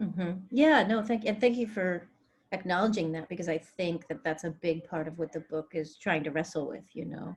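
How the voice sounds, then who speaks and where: Somewhat breathy and fairly low in pitch, a woman with an American accent speaks with ordinary pitch variation. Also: moderate pace. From Greece, then US from age six. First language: Greek. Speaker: novelist. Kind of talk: interview.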